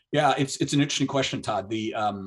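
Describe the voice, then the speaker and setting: A man is speaking. His voice is somewhat breathy, with ordinary pitch variation. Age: 60s. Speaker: author and missions ministry leader. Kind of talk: interview on biblical prophecy.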